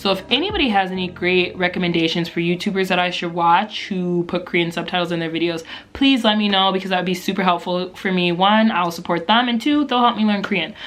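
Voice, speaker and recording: A woman's very fast, medium-pitched speech with hardly any pauses, ordinary pitch variation and noticeable background noise. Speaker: YouTube vlogger. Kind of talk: casual vlog tutorial. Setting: filming at home at night.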